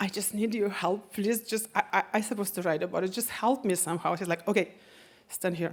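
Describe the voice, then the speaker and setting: A woman with a Russian accent speaks at a fairly quick pace. Her pitch is medium, and her intonation is fairly even. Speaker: storyteller. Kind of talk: live storytelling on stage.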